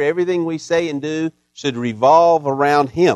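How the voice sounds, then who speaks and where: A man with an unremarkable speaking voice, fairly high in pitch, talks at a moderate pace. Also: dry, close sound with no echo. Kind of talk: fervent pastoral prayer. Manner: earnest, warm, heartfelt, pleading.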